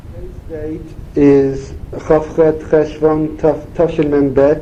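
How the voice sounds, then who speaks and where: This man speaks at a fairly high pitch over noticeable background noise. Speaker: oral history interviewer. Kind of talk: family interview questions.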